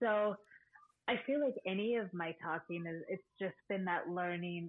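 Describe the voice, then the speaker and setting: Speaking in a plain, everyday voice, a woman keeps a fairly low pitch, ordinary pitch variation, and a fairly slow pace. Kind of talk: casual chat.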